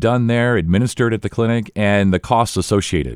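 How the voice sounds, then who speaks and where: A normal speaking voice from a man, medium in pitch at a fairly quick pace, in a very clean recording with a silent background. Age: 50s. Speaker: podcast host. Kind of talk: interview.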